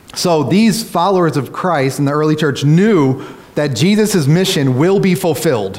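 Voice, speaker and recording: A man with an American accent at a fairly high pitch, lively intonation and very even loudness, with audible room echo and noticeable background noise. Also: moderate pace. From Kentucky, US. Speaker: pastor. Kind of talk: prayer; sermon. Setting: church.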